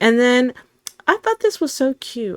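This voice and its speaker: A loud, animated woman at a moderate pace, her pitch swinging very widely, in a dry, close sound with no echo. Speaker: gaming youtuber. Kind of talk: casual gameplay commentary.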